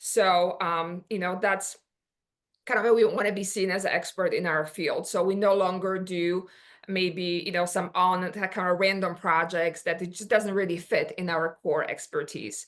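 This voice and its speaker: A woman talks with a Polish accent at a moderate pace. Her intonation is monotone and flat, and the background is quiet. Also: medium pitch for a woman. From Poland. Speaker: business owner. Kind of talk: workshop presentation. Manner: halting, many fillers.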